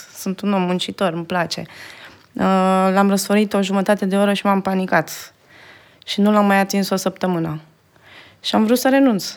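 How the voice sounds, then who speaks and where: A woman's medium-pitched voice at a moderate pace, fairly even in intonation, with long, frequent pauses, on a very clean recording with a silent background. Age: 30s. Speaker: video editor. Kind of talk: interview. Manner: halting.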